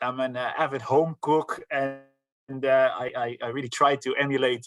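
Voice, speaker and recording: Over music in the background, a man with a Dutch accent speaks in a monotone, flat intonation. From Netherlands. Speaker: sales director. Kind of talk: presentation. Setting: live online event. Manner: halting, many fillers.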